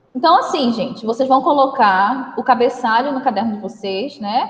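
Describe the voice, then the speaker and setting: A woman's high voice at a fairly quick pace with ordinary pitch variation, over noticeable background noise. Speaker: schoolteacher. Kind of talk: online class lesson.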